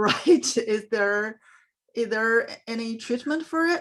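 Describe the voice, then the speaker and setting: A woman with a non-native accent at a fairly high pitch, very slow pace and ordinary pitch variation, against a quiet background. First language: not English. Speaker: parent asking a question. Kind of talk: audience question. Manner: halting, many fillers.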